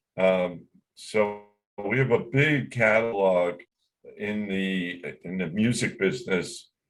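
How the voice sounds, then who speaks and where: A man talks, his pitch varying in an ordinary way. Behind him, music can be heard in the background. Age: 70s. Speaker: record label owner and songwriter. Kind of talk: interview.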